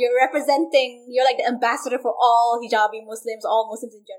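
A woman talks at a very fast pace in a high voice. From Malaysia. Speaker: university student, Rhodes scholar. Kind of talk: casual interview chat.

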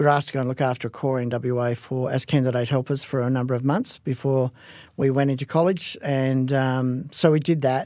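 With an Australian accent, a man talks at a fairly quick pace in a dark, mellow tone at medium pitch, his intonation fairly even, on a very clean recording with a silent background. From Western Australia, Perth. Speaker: pastor. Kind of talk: interview. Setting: studio.

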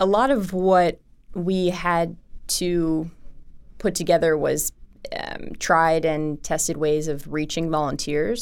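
Her pitch very deep and low, a woman speaks with an American accent and fairly even intonation. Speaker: nonprofit executive director. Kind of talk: interview conversation.

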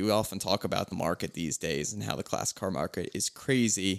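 An ordinary speaking voice, a man with an American accent talks at a fairly quick pace in a fairly low pitch with ordinary pitch variation, the sound dry and close with no echo on a very clean recording with a silent background. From Philadelphia, US. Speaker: car podcast host. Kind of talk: casual chat.

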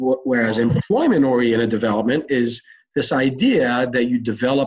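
In a normal speaking voice, a man of medium pitch talks at a moderate pace with ordinary pitch variation. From Israel (Tel Aviv), moved to US at 10. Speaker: real estate developer and entrepreneur. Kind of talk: interview.

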